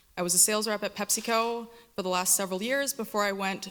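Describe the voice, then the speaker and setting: A woman with a Canadian accent talks at a very fast pace. Her pitch sits in the medium range, and her intonation is fairly even. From Toronto, Canada. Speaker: political candidate. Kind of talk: debate opening statement.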